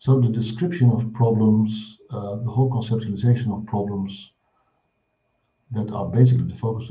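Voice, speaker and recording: A man with a Dutch accent speaks at medium pitch in a dark, mellow, somewhat breathy tone, with fairly even intonation, big swings in loudness and audible room echo. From Netherlands. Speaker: clinical psychology professor. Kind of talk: lecture.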